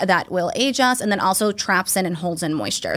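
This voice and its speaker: A woman with an American accent has an unremarkable speaking voice at a medium pitch, with ordinary pitch variation at a moderate pace. The recording is very clean, with a silent background. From Massachusetts South Shore. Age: 30s. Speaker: physician assistant. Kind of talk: casual interview chat.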